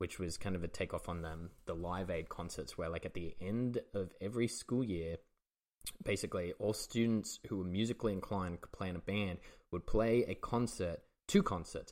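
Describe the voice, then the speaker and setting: In a very clean recording with a silent background, a man with an Australian accent speaks at a fairly low pitch with ordinary pitch variation. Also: moderate pace. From England, moved to Australia as a child. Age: 30s. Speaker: comedian and podcast host. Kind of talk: casual chat.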